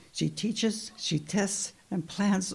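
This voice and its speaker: With an American accent and vocal fry, a woman speaks at a fairly slow pace with fairly even intonation. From Monterey, California. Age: 80s+. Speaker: school volunteer. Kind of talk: public comment.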